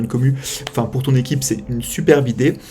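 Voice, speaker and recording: Amid noticeable background noise, a man speaks at a medium pitch and a very fast pace. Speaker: streamer and show host. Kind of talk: live stream talk show outro.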